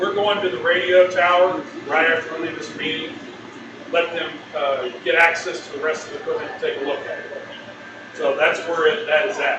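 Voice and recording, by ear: Bright and sharp in tone, a man speaks at a moderate pace with a fairly high pitch and little pitch movement. Audible room echo surrounds him.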